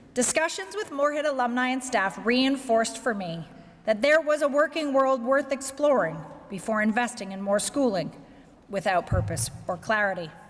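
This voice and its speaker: Over noticeable background noise, a woman with a Canadian accent speaks in a high pitch with lively intonation. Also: moderate pace. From Canada, Victoria, British Columbia. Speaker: corporate executive. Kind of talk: keynote speech. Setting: banquet with audience.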